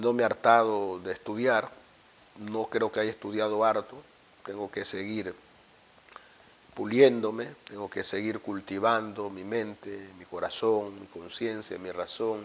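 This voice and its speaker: Flat, monotone delivery from a man at a fairly low pitch, fairly slow and broken by long, frequent pauses. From Ecuador, Esmeraldas province (Afro-Ecuadorian). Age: 50s. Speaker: university rector. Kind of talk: interview. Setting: office. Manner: reflective, some stammering.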